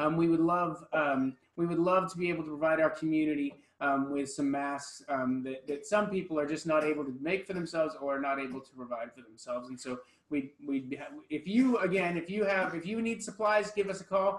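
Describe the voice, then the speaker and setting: Audible room echo surrounds a man speaking at a fairly quick pace with ordinary pitch variation. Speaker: pastor. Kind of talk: church announcements. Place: church.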